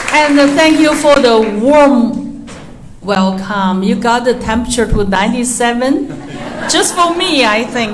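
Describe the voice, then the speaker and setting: A woman's high voice with a Chinese accent and lively intonation, at a fairly slow pace, amid noticeable background noise and audible room echo. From China. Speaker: artist. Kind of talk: artist talk. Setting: museum talk with audience. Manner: loud; halting.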